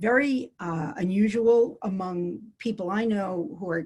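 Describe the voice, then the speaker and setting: A somewhat breathy woman with an American accent. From US, New York City. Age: 60s. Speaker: clinical psychologist. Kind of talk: interview. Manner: halting.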